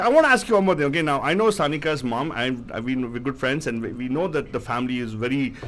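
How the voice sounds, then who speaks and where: A man with an animated tone at a very fast pace, over noticeable background noise. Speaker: radio show co-host. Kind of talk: casual chat. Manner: loud.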